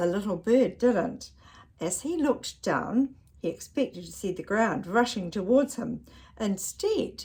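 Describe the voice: Someone reads aloud in a plain manner. The intonation rises and falls in a lively way.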